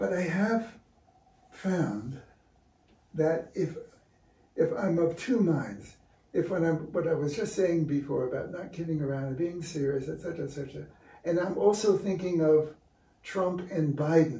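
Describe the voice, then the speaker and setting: A man with an American accent speaks in a high pitch and a dark, mellow tone at a fairly slow pace, using ordinary pitch variation and long, frequent pauses, with audible room echo. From New York City (Brooklyn). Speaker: visual artist and art teacher. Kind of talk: casual interview. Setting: artist's studio. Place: studio. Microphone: camera far.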